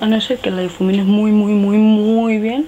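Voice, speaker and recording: A woman's fairly high voice with fairly even intonation over light background noise. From Spain. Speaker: beauty youtuber. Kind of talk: makeup tutorial. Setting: home filming setup with ring light. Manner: casual, chatty. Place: home room. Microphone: lapel.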